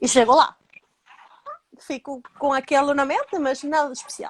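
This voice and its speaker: A high-pitched woman with a Spanish accent at a moderate pace, in a dry, close sound with no echo. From Venezuela. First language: Spanish (speaking Portuguese). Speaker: emigrant interviewee. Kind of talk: interview storytelling.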